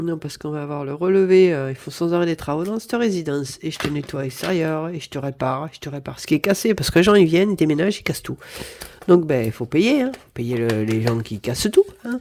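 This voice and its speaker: A woman talks very fast in a very deep, low voice with very wide pitch swings. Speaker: budgeting vlogger. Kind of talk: casual budget vlog monologue. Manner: hesitant, with repeated fillers.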